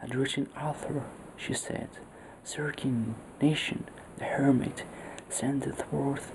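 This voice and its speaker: Soft-spoken and at a fairly slow pace, the voice comes through noticeable background noise. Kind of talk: story reading.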